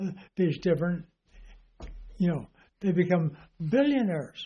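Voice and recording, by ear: A man talks at a fairly high pitch. His tone is dark and mellow.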